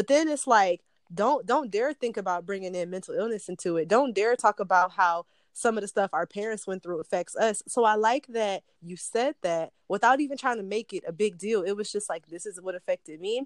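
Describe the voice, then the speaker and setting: In a normal speaking voice with an American accent, the speech shows ordinary pitch variation and a dry, close sound with no echo. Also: woman, medium pitch for a woman, fairly quick pace. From Detroit. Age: 20s. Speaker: podcast host. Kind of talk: casual interview.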